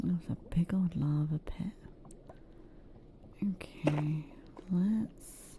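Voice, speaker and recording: Soft-spoken and calm in tone, the voice moves at a very slow pace with long, frequent pauses. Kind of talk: casual gaming commentary to viewers. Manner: soft-spoken, calm.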